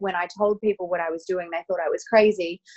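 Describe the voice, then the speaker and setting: Ordinary pitch variation in an Australian accent. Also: woman. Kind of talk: casual interview chat.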